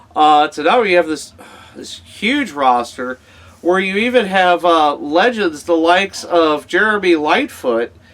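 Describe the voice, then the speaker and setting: A man talks at a fairly slow pace in a high pitch with lively intonation. Music plays in the background. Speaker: wrestling podcast host. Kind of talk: casual interview talk.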